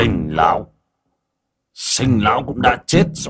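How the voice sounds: A man puts on a character voice at a fairly low pitch with a slightly husky edge. He goes at a slow pace with lively intonation.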